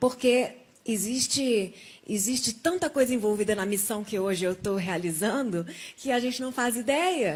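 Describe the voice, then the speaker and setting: Here is a normal speaking voice with lively intonation. The pace is moderate. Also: woman. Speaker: testimony guest, survivor of coma. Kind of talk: testimony.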